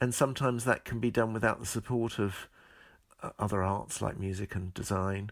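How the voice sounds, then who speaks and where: In a very clean recording with a silent background, a man with a southern English accent speaks at a moderate pace, his pitch fairly low and his intonation fairly even. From southeast England, Medway Towns, Kent. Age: 60s. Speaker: choreographer and former ballet dancer. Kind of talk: interview. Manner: halting.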